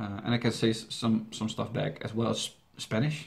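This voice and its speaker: Somewhat breathy speech with a Dutch accent moves at a moderate pace. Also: man. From Netherlands. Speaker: YouTube reaction channel host. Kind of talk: Q&A video answering viewer questions. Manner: halting, with many fillers and restarts.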